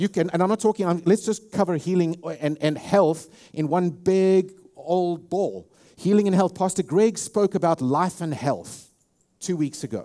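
A man's high-pitched voice with a dark, mellow tone, a South African accent, moderate pace and ordinary pitch variation. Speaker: pastor. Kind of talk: sermon. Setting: church.

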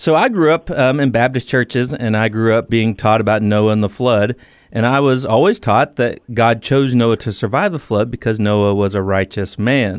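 Using an ordinary speaking voice, a man talks at a moderate pace and medium pitch, with ordinary pitch variation, very even loudness and hardly any pauses. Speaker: author and former Marine. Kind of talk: radio interview.

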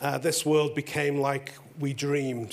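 A man with an English accent talks in a flat monotone over noticeable background noise. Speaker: pastor. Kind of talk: testimony. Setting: stage with audience.

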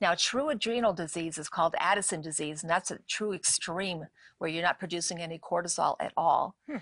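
An unremarkable speaking voice from a woman, fairly low in pitch with ordinary pitch variation, at a fairly quick pace, in a dry, close sound with no echo against a quiet background. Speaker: natural medicine doctor and author. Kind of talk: interview on a faith-based show.

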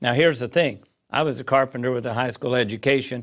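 A man with an American accent speaks at a medium pitch with fairly even intonation in a plain, everyday voice. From US Midwest, Southern Illinois. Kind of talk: interview testimony.

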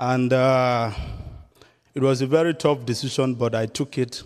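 A man with a Nigerian accent, medium pitch, monotone, flat intonation and a fairly slow pace, on a very clean recording with a silent background. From southern Nigeria. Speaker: missionary evangelist. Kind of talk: sermon. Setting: church.

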